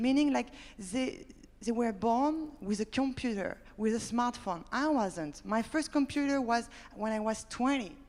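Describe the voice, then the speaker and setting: Her high-pitched voice moves at a fairly slow pace. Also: lively intonation. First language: French. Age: 30s. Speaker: startup founder. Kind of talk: panel discussion.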